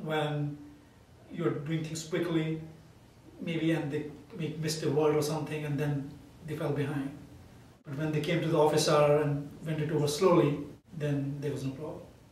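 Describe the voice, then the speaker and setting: Amid noticeable background noise and audible room echo, a man with a fairly high pitch talks at a moderate pace in a flat monotone, with long, frequent pauses. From India. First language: Indian language. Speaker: math professor. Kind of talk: interview.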